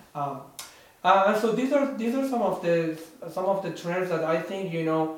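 A high-pitched man with a Persian accent and lively intonation, at a moderate pace, amid noticeable background noise and audible room echo. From Iran. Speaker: podcast co-host. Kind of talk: casual chat.

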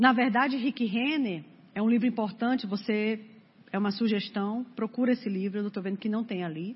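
A somewhat breathy woman's voice, fairly high in pitch, at a moderate pace with ordinary pitch variation. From Brazil, Fortaleza (Ceará). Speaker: preacher. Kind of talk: sermon. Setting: church.

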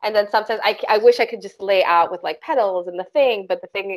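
A woman talks at a fairly high pitch on a very clean recording where the background is silent. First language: not English. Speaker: crystal Reiki master, podcast co-host. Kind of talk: casual chat.

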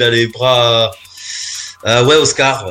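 A man's voice over noticeable background noise. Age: 30s. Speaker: amateur football coach. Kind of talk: casual quiz show. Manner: halting.

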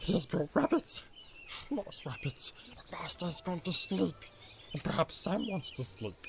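Over clear background noise, a man does a put-on character voice, pitched high with vocal fry and big pitch swings at a fairly slow pace.

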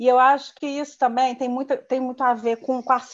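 A woman speaks in a high voice. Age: 50s. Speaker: civil servant. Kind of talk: casual chat.

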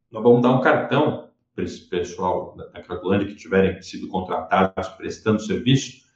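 A man in a normal speaking voice with lively intonation at a moderate pace. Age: 20s. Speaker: politician. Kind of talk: interview.

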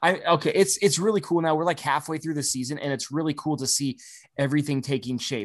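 With an American accent and a normal speaking voice, a man talks at a fairly quick pace and a fairly high pitch against a quiet background. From US Midwest. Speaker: podcast host. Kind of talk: casual podcast banter.

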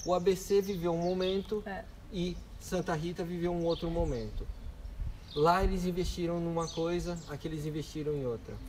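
A man speaks in a high voice. His pace is moderate and his intonation fairly even. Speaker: tech event co-founder. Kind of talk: casual interview.

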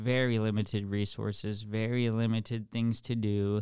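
On a very clean recording with a silent background, a man speaks with a fairly low pitch and monotone, flat intonation. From Alaska (Kotzebue, Anchorage, villages). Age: 20s. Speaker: former client in addiction recovery. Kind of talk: personal testimony in interview.

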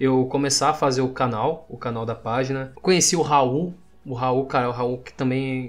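A man at a moderate pace with fairly even intonation, in a normal speaking voice. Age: 20s. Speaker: meme page creator. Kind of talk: casual chat.

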